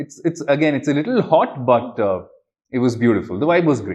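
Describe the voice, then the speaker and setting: A man with a South Indian accent. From India, Bangalore. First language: Kannada. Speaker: magician and traveller. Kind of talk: interview. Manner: hesitant, many fillers.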